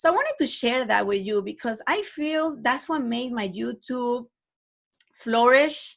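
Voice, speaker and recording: A woman with a non-native accent talks at a fairly slow pace in a high voice. The recording is very clean, with a silent background. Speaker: online math teacher and podcaster. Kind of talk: podcast talk. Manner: casual, conversational.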